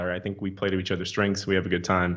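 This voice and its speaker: A man's fairly low voice with a slight Missouri accent. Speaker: comic book writer. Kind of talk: casual chat.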